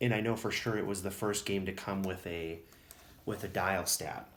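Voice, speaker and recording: A Wisconsin accent at a fairly quick pace, with ordinary pitch variation and audible room echo. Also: man. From Wisconsin, US Upper Midwest. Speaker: tabletop miniatures hobbyist YouTuber. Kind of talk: casual show-and-tell video. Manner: hesitant, many fillers.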